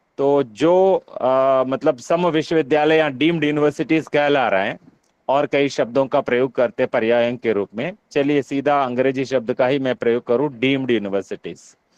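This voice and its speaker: A man with a Telangana accent speaks at medium pitch with ordinary pitch variation. The sound is dry and close, with no echo. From Telugu-speaking South India (Andhra/Telangana). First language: Telugu (speaking Hindi). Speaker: university professor, workshop convener. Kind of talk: online workshop discussion. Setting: online video meeting. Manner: halting, many filler sounds.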